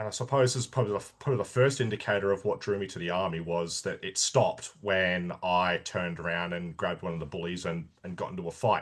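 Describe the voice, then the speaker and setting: With an Australian accent, a man talks very fast with hardly any pauses, his pitch very deep and low with ordinary variation, over a quiet background. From Australia, Sydney (Sutherland Shire). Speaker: army veteran. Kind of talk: interview. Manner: halting, many false starts.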